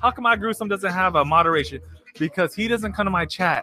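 A man speaks at a fairly quick pace in a high, raised, projected voice. Music plays in the background. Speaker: podcast host and streamer. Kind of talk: comedy persona patter: profane radio-DJ bit.

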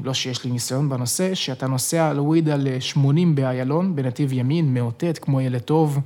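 A man talks at a moderate pace and a fairly high pitch, with ordinary pitch variation and noticeable background noise behind him. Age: 20s. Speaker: podcast host. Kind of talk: casual chat. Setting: studio.

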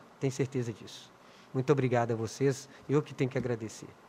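A somewhat breathy man at a fairly quick pace. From Minas Gerais, Brazil (Contagem). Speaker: city councillor and community leader. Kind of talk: interview.

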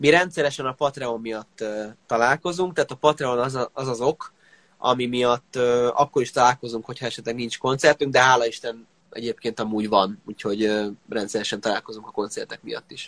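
A man's voice, a normal speaking voice, at a fairly quick pace with ordinary pitch variation in a dry, close sound with no echo. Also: medium pitch for a man. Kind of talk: casual interview. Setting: online live interview.

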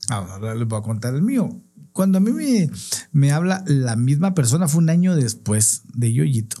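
A man with a dark, mellow, somewhat breathy tone, a fairly high pitch, very wide pitch swings and a moderate pace. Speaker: clown and podcast co-host. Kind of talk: casual chat.

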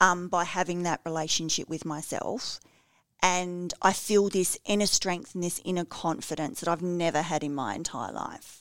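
A normal speaking voice at a moderate pace, ordinary pitch variation, very clean recording with a silent background. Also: woman, fairly low pitch for a woman. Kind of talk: casual chat. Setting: radio studio.

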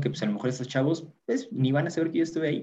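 Intonation is lively as a man speaks in a dark, mellow tone. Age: 20s. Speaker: youth group treasurer. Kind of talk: casual chat.

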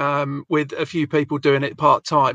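A man with an English accent and a bright, sharp tone, fairly high in pitch, at a moderate pace, in a dry, close sound with no echo. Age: 40s. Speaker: podcast host. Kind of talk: casual chat.

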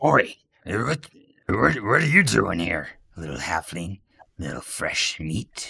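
A man's put-on character voice, raspy and fairly low-pitched, at a fairly slow pace with long, frequent pauses. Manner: leering, slow-witted.

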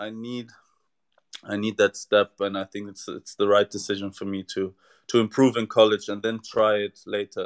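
A man with a German accent at a moderate pace, dry and close with no echo, on a very clean recording with a silent background. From Germany. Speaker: tennis player, former college athlete. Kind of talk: interview.

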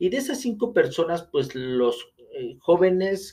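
A man talks at a fairly slow pace with lively intonation. His tone is dark and mellow. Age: 30s. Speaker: podcast host, real estate agent. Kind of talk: solo podcast monologue. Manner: hesitant, many fillers.

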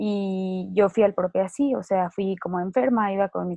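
A woman with a Mexican accent speaks in a dark, mellow tone, the sound dry and close with no echo. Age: 20s. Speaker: lupus survivor. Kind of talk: interview testimony.

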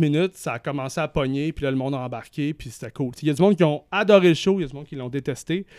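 A speaker with a Quebec accent talks at a very fast pace with hardly any pauses, loudness swinging widely and ordinary pitch variation. The sound is dry and close with no echo, on a very clean recording against a silent background. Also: man. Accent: Québécois French. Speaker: music journalist. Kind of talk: casual chat.

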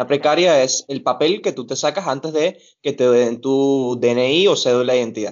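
A man with an unremarkable speaking voice talks at a moderate pace in a medium pitch, with ordinary pitch variation. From Venezuela, Caracas area. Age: 20s. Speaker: barista. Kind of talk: casual interview. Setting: video call.

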